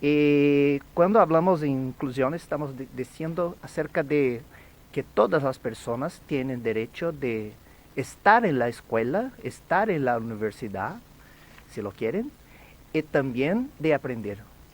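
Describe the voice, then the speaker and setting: A Brazilian accent at a fairly slow pace. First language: Portuguese (speaking Spanish). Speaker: education academic. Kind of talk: radio interview.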